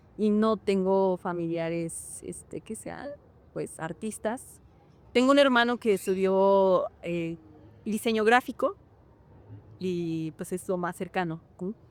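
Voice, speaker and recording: At a very slow pace with long, frequent pauses, the voice shows ordinary pitch variation and big swings in loudness. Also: woman, medium pitch for a woman. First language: Hñähñu (Otomi) (speaking Spanish). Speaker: actress and dancer. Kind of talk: interview. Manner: hesitant, many fillers.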